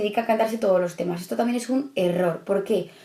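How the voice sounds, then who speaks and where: Against noticeable background noise, a woman speaks with ordinary pitch variation. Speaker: study coach for civil service exam candidates. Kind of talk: tutorial. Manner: fast.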